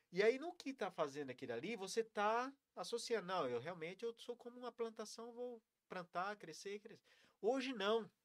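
A man speaks in a high voice, with a dry, close sound and no echo. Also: lively intonation, moderate pace, big swings in loudness. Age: 40s. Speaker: mindfulness and breathing practitioner. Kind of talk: casual interview on a live stream.

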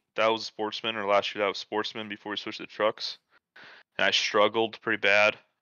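Speaking in an American accent, a man talks at a fairly quick pace with a fairly low pitch. His intonation stays monotone and flat. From US Midwest, South Dakota. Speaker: sim racer. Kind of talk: casual chat.

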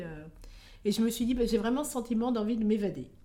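A woman speaks in a dark, mellow tone. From France. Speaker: expatriate. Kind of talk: interview. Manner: hesitant.

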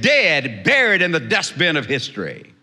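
A man's raised, projected voice in an American accent, with lively intonation at a moderate pace. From South Texas. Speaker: preacher. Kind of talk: sermon.

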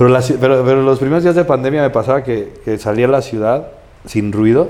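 A man speaking at a fairly quick pace with ordinary pitch variation, noticeable background noise behind him. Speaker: podcast host. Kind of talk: casual chat.

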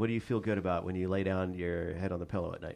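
Animated in tone, a man speaks at a very fast pace. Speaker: podcast host. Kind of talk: casual interview chat. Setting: studio. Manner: jokey, animated.

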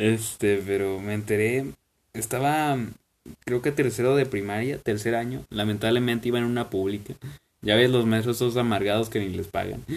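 This man speaks at a moderate pace with a Mexican accent, his medium-pitched voice keeping a fairly even intonation. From Mexico. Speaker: podcast host. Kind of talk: casual chat.

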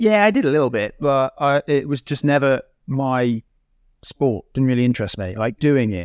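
A normal speaking voice from a man at a medium pitch and moderate pace, with lively intonation, in a very clean recording with a silent background and a dry, close sound with no echo. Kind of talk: casual panel chat.

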